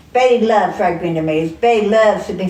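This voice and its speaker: A woman with an American accent is heard amid noticeable background noise and audible room echo. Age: old. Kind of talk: casual chat.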